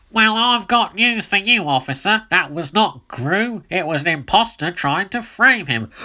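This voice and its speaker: The speaker uses a put-on character voice at a middle pitch, keeping a moderate pace with hardly any pauses. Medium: read story.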